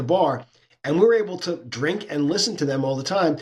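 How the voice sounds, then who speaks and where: Using an ordinary speaking voice, a man with an American accent talks at a fairly quick pace with lively intonation. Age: 60s. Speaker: sports business consultant and author. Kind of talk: podcast interview.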